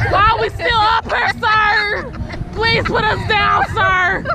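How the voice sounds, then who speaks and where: A woman's raised, projected voice over crowd noise in the background. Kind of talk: frightened pleading exclamations. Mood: scared, pleading, half laughing. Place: open country. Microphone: camera far.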